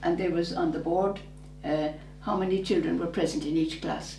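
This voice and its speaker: Speaking at a fairly quick pace with a southern Irish accent, the voice carries audible room echo over noticeable background noise. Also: woman. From southern Ireland, rural. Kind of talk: interview about her life. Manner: halting, with false starts.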